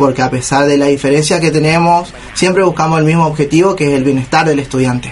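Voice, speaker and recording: The man speaks at a very fast pace with a fairly high pitch and fairly even intonation. His loudness stays very even over noticeable background noise. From Argentina. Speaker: student union radio host. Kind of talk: casual chat.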